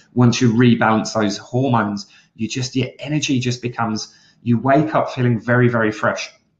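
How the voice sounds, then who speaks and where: A man speaks at a moderate pace and medium pitch, somewhat breathy, with monotone, flat intonation. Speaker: health coach. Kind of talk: live webinar training.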